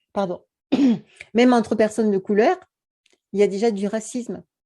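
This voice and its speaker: A woman speaks at a fairly quick pace in a medium pitch, her tone dark and mellow. Her pitch varies in an ordinary way. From French Antilles. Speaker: YouTube beauty and wellness coach, author. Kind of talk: interview conversation. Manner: hesitant, many repetitions.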